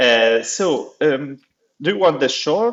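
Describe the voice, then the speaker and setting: A man speaks with an Italian accent. His pace is very slow. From Italy. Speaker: accessibility officer at a publishing foundation. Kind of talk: podcast interview. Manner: halting, many fillers.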